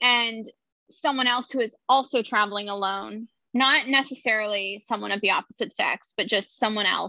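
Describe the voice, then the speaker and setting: At a fairly quick pace, a woman talks in a plain, everyday voice with ordinary pitch variation. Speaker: guest. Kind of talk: casual chat.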